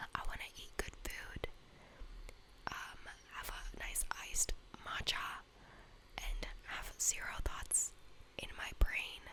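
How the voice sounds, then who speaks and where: A whisper amid noticeable background noise. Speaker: university student. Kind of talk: ASMR whisper ramble. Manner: whispered; casual, chatty.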